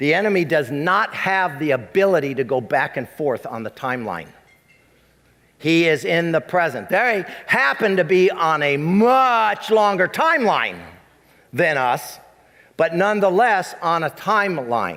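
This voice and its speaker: The man's voice is high-pitched with lively intonation. He speaks at a fairly slow pace. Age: 60s. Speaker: pastor. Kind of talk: sermon.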